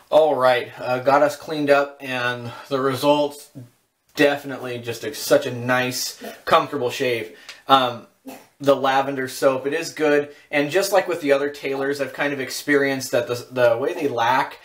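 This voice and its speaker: A man speaking at a moderate pace with fairly even intonation. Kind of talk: casual product review tutorial. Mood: relaxed, content. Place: bathroom. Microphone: camera far.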